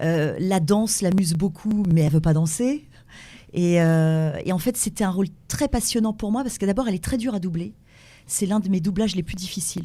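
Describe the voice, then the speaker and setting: In a very clean recording with a silent background, a woman speaks fairly quickly at a medium pitch, her somewhat breathy voice dark and mellow in tone, with ordinary pitch variation. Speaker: voice actress. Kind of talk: interview.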